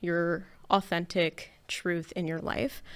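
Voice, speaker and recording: The recording is very clean, with a silent background. A woman with a Canadian accent speaks in a shaky voice at a fairly low pitch. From Canada. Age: 20s. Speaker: podcast host. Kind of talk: personal monologue. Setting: studio. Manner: hesitant with fillers.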